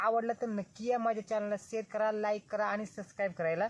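A man talks in a high-pitched voice. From Junnar, Pune district, Maharashtra, India. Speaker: village vlogger, wildlife water volunteer. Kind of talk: vlog narration. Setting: outdoors in forest.

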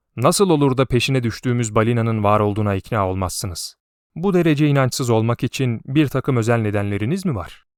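The background stays quiet as a natural reading voice comes through.

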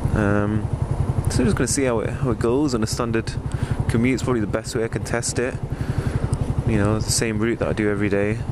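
Loud background noise sits behind a man talking at a very fast pace. The sound itself is dry, with no echo. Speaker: motorbike rider vlogger. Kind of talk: casual vlog chat. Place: motorbike. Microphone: helmet.

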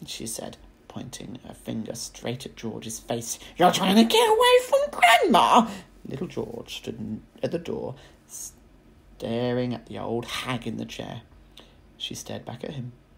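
Over noticeable background noise, a man speaks at a fairly slow pace with big swings in loudness. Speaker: teacher. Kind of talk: children's audiobook reading.

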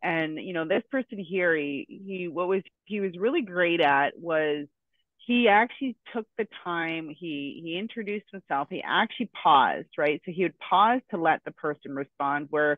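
The pace is moderate. The sound is dry with no echo, over a quiet background. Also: woman, fairly low pitch for a woman. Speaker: sales coach host. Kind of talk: coaching discussion on a video call. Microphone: headset.

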